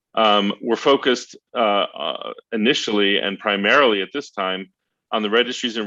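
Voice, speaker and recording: His voice is fairly low in pitch. The man's pitch varies in an ordinary way. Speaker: internet policy advocacy leader. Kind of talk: briefing presentation. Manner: fast.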